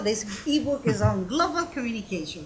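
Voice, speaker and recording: Audible room echo and noticeable background noise surround the recording. A woman speaks at a moderate pace. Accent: non-native. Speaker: university professor. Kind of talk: panel discussion. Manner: halting.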